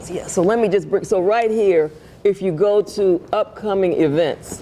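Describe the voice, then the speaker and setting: A woman's fairly slow speech, with ordinary pitch variation, comes through noticeable background noise. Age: 70s. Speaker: ministry leader. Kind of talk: interview.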